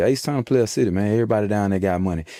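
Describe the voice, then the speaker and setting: On a very clean recording with a silent background, a man uses a plain, everyday voice with lively intonation and a fairly low pitch. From Fort Worth, Texas (born in Atlanta, some years in Houston). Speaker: interviewee from the streets. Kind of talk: casual interview. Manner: laid-back, slangy, filler-heavy.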